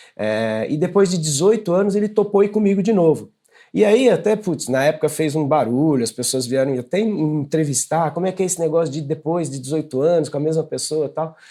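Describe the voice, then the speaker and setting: Talking at a fairly quick pace with hardly any pauses, a man uses a fairly high pitch, a dark, mellow tone and lively intonation. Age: 60s. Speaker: running coach. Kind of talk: interview. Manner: hesitant with repetitions.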